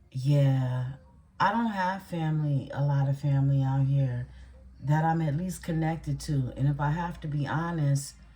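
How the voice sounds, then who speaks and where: A woman speaks at a very deep, low pitch with a dark, mellow tone and a somewhat breathy quality. Her American accent carries audible room echo. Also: ordinary pitch variation, moderate pace. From Louisiana. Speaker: tarot reader. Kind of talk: casual chat. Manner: conversational, many fillers.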